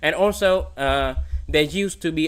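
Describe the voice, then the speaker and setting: Speech at a moderate pace with a Vietnamese accent. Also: man. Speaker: competitive programming streamer. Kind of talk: livestream Q&A. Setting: livestream. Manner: halting.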